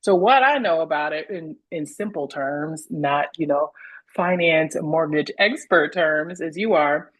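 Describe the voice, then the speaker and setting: This woman has an American accent and a very deep, low pitch. She talks at a fairly slow pace with ordinary pitch variation. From outside North Carolina. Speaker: real estate agent. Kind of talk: interview. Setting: video call.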